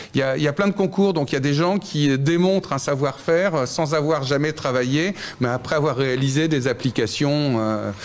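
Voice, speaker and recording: At a moderate pace, a man talks with fairly high pitch, ordinary pitch variation and very even loudness. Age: 60s. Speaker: startup founder. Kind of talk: interview. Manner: halting.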